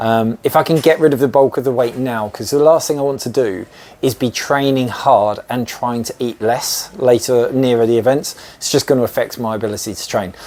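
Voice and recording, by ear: A man talks at a fairly quick pace with few pauses, using a slightly mellow tone, a medium pitch and ordinary pitch variation.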